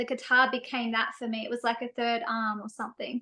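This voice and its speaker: Raised and projected, the voice has a bright, sharp tone and moves at a fairly quick pace with an Australian accent. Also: woman. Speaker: singer-songwriter. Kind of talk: interview.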